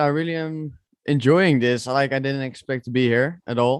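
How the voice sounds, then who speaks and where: Here a man speaks with a Dutch accent. His pitch is fairly high, with ordinary pitch variation. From Netherlands. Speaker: esports sim racer. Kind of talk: casual chat. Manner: halting.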